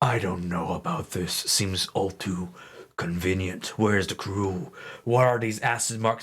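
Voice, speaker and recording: A man puts on a character voice at a fairly low pitch. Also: moderate pace, ordinary pitch variation. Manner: stern, suspicious.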